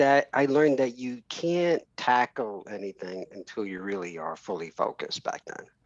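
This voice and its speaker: A man with a New York accent talks at a moderate pace and medium pitch, hardly pausing, with very wide pitch swings and big swings in loudness, in a dry, close sound with no echo. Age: 50s. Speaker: entrepreneur. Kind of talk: podcast interview. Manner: halting.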